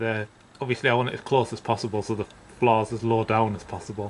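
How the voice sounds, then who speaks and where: A man at a very fast pace, monotone and flat in intonation, over light background noise. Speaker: DIY home renovator. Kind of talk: casual vlog narration. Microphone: phone near.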